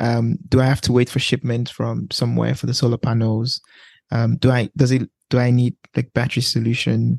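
With a fairly quick pace and fairly even intonation, a man speaks at medium pitch in a somewhat breathy voice, recorded dry and close with no echo. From Nigeria. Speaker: podcast host. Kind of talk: interview.

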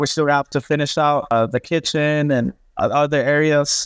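Heard against a quiet background, a man speaks at a fairly high pitch. His intonation is monotone and flat, and the sound is dry and close with no echo. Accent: American. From Texas, Dallas–Fort Worth area. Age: 20s. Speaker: renovation contractor. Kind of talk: interview.

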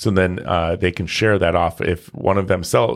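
Very deep and low, a man's voice comes through in a very clean recording with a silent background. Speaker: real estate podcast host. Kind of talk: casual chat. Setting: studio. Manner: excited.

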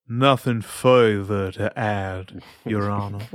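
Putting on a character voice with a Southern accent, a man talks at a very slow pace and a fairly low pitch. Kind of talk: formal, courtroom. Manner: playful, put-on.

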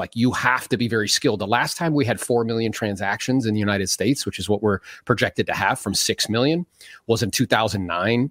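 A man talks at a fairly quick pace in a plain, everyday voice, at a medium pitch with ordinary pitch variation. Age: 40s. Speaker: real estate agent and coach. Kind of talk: interview.

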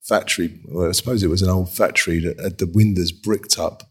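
A man's somewhat breathy, fairly low-pitched voice with a London accent, very fast pace and fairly even intonation. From London, Hackney/Dalston. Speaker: furniture designer. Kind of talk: casual interview. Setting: video call.

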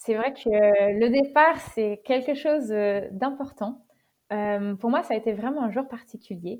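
Speaking fairly slowly, a woman with a fairly high voice shows ordinary pitch variation. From western France, Deux-Sèvres (Niort). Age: 20s. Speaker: long-distance bike traveller. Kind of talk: interview testimony. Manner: hesitant, many fillers and repeated words.

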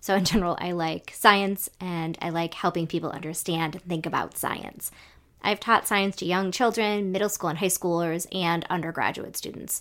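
A woman's normal speaking voice, fairly low in pitch, with fairly even intonation and a moderate pace, on a very clean recording with a silent background. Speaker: education professor and co-host. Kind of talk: casual conversation.

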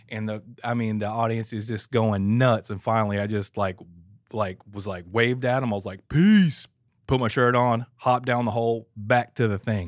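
With an American accent, a normal speaking voice moves at a moderate pace with fairly even intonation. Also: man, medium pitch for a man. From Atlanta, Georgia, US South. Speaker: church audio engineer, former drummer. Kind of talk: casual chat. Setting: studio.

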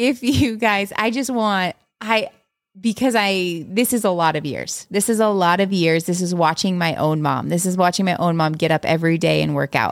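A woman with a plain, everyday voice and ordinary pitch variation, in a very clean recording with a silent background. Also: medium pitch for a woman, moderate pace. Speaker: podcast co-host and mom. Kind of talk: casual chat, podcast conversation. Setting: home, quiet recording with a baby asleep nearby.

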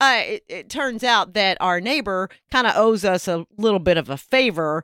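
Using a plain, everyday voice at medium pitch, a woman speaks at a moderate pace with lively intonation in a very clean recording with a silent background and a dry, close sound with no echo. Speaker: podcast co-host. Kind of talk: casual chat, comedic banter.

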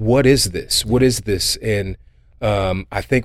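An ordinary speaking voice from a man, with ordinary pitch variation. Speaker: nonprofit executive and podcast host.

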